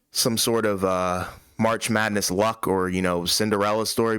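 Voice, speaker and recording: On a very clean recording with a silent background, a man with a plain, everyday voice speaks at a fairly low pitch and a moderate pace, with ordinary pitch variation. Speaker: basketball podcast host. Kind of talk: casual chat.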